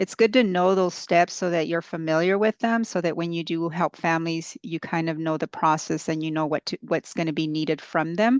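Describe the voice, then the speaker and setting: An unremarkable speaking voice moves at a fairly quick pace with hardly any pauses and ordinary pitch variation, dry and close with no echo over a quiet background. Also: woman, fairly low pitch for a woman. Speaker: utility company outreach presenter. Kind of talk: presentation.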